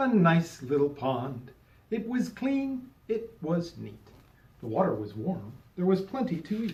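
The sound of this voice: The clip has an unforced reading voice. Every line is read in it.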